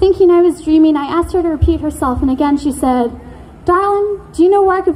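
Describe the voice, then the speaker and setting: With lively intonation and a moderate pace, a woman talks through noticeable background noise. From Canada, Coast Salish, Vancouver Island area. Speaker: spoken word poet. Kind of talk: spoken word performance. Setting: stage with audience.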